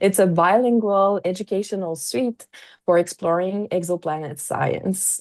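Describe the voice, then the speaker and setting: In a Quebec accent, a woman with a dark, mellow tone talks fairly slowly, her pitch varying in an ordinary way. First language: French. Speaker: astrophysicist and science educator. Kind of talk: pre-recorded conference presentation. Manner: halting, many fillers.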